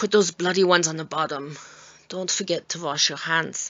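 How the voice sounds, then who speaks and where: A woman's put-on character voice, raspy and fairly low in pitch, with fairly even intonation at a moderate pace. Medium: read story. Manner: cold, commanding.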